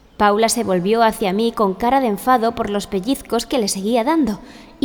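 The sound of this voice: What comes through is an unforced reading voice.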